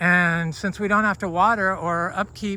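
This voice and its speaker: Raising and projecting his voice, a man speaks at a high pitch with a bright, sharp tone. His pace is fairly slow. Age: 60s. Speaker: fruit farmer. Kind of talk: casual walking vlog. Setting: outdoors. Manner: hesitant, many fillers.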